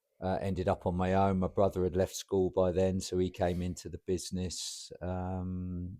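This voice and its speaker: A man with a southern English accent speaks at a moderate pace with hardly any pauses, his very deep, low voice dark and mellow and his intonation flat and monotone, on a very clean recording with a silent background. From southern England, Portsmouth area. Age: 60s. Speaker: roofing business owner and football club chairman. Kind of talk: podcast interview. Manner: hesitant, with many fillers.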